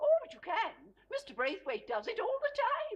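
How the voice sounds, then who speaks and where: A woman's squeaky put-on character voice, extremely high-pitched, with very wide pitch swings at a moderate pace. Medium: short film. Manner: gentle, fussy, says "dear" often.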